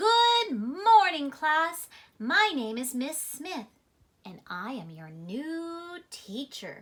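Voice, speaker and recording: Using a put-on character voice, a woman speaks at a high pitch, very slowly, with very wide pitch swings. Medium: read story.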